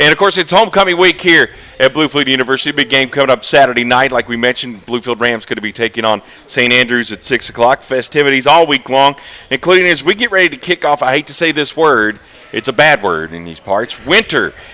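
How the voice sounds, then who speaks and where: Talking at a very fast pace with lively intonation, a man at medium pitch is heard in a dry, close recording with no echo and noticeable background noise. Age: 40s. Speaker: university sports show host. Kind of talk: live interview show. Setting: stage on campus.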